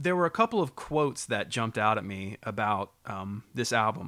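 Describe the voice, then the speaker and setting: Over a silent background in a very clean recording, a man with an American accent talks at a medium pitch in a bright, sharp tone with lively intonation. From US South. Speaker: podcast co-host. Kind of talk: casual chat. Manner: low-key.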